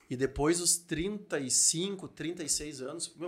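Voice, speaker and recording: A man speaks in a fairly high pitch with ordinary pitch variation. He has an ordinary speaking voice. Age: 40s. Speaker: podcast host and entrepreneur. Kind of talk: casual chat.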